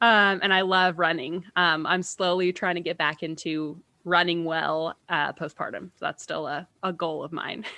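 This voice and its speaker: A woman has a normal speaking voice with a fairly low pitch. She keeps a moderate pace and fairly even intonation, with hardly any pauses. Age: 20s. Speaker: podcast co-host, career coach. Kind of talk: casual chat. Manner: casual, with filler words.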